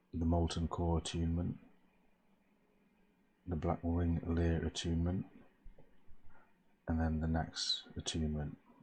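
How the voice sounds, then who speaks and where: Soft-spoken and somewhat breathy, a man talks at a fairly slow pace in a very deep, low voice, monotone and flat, with very even loudness and long, frequent pauses. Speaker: gamer. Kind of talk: ASMR gaming talk. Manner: low, soft.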